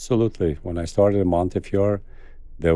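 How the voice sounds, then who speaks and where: Speaking in an Albanian accent, a man has a dark, mellow tone and fairly even intonation. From Kosovo. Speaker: cardiologist. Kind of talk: interview.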